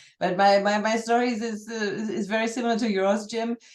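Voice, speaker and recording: A woman with a German accent talks at a moderate pace in a monotone, flat intonation. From Germany. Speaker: journalist and church member. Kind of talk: casual conversation. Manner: halting, repeating words.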